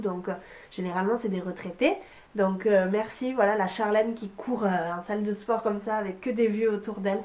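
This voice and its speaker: Fairly quick speech from a woman over noticeable background noise. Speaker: vlogger and English teacher. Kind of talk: casual vlog. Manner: hesitant, many fillers.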